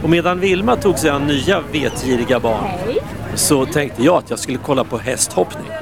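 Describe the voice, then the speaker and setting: Through noticeable background noise, a man speaks at a fairly high pitch. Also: lively intonation, moderate pace. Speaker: radio reporter. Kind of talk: on-location field report. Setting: outdoors at an event.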